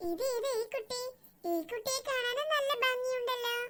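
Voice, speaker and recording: Squeaky and extremely high-pitched, this cartoonish character voice moves at a fairly slow pace. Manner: polite, deferential.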